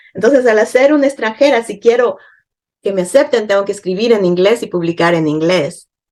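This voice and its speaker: Lively intonation carries the speech along at a fairly quick pace. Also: woman, fairly high pitch for a woman. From Ecuador. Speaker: poet. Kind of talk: interview. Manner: halting.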